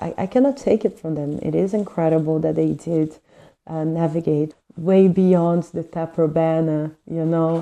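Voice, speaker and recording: The voice has a dark, mellow tone, ordinary pitch variation and a fairly slow pace. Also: woman. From Brazil. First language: Portuguese. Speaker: book reviewer. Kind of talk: book review monologue. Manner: hesitant with fillers.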